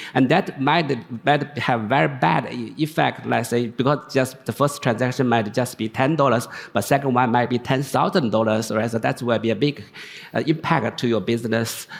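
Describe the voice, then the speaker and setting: A man talks at a moderate pace in a medium pitch, with ordinary pitch variation. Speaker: tech executive and researcher. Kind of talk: panel discussion. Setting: conference stage with audience. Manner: halting, many false starts.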